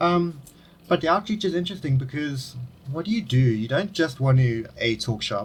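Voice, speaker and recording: A man with a South African accent speaks in a somewhat breathy voice with lively intonation. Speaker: podcast host. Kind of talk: casual interview chat.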